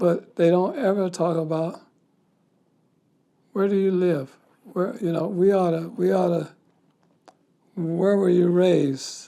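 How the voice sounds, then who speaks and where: A man speaks at a high pitch and a fairly slow pace. Long, frequent pauses break up his speech. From US Midwest, Kansas City. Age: 70s. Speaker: army veteran. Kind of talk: interview. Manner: animated. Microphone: audio issues from 35:00.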